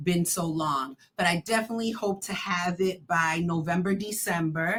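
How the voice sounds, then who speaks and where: This woman's voice is somewhat breathy, at medium pitch. Her pitch variation is ordinary. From Boston, Roxbury (Cape Verdean-American family). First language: Cape Verdean Creole. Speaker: educator and author. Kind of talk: podcast interview.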